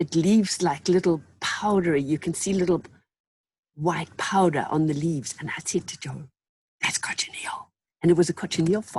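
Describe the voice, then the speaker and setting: A somewhat breathy woman's voice, fairly low in pitch, with fairly even intonation. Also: moderate pace. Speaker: textile artist. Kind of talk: interview.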